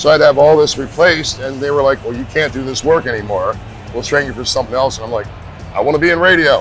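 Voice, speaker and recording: This man speaks at a very fast pace with a fairly high pitch, music playing in the background. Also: ordinary pitch variation. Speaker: tattoo convention MC and radio DJ. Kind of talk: interview answer, casual storytelling. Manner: friendly, conversational.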